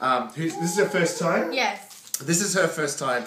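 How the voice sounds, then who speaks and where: The speech moves at a moderate pace with ordinary pitch variation, with light background noise and audible room echo. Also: man. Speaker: food vlogger. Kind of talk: casual vlog chat. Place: home room. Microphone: phone near.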